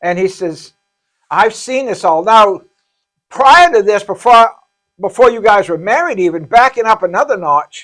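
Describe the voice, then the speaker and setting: A man with a high voice speaks at a moderate pace with lively intonation and long, frequent pauses while music plays in the background. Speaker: pastor running a homeless shelter. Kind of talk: casual chat. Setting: live podcast. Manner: halting, stuttering.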